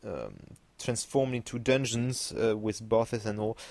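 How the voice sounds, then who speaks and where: A man at medium pitch with fairly even intonation and a non-native accent. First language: French. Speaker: gaming YouTuber. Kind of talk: video commentary. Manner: halting, many fillers.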